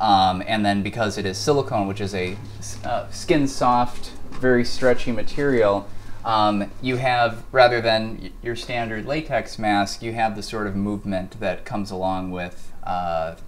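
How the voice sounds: A man talks at a fairly slow pace with fairly low pitch and fairly even intonation.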